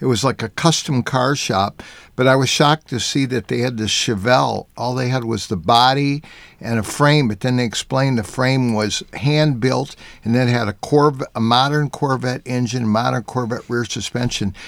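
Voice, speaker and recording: A man talks at a moderate pace and a medium pitch with fairly even intonation. It is an ordinary speaking voice. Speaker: automotive journalist and artist.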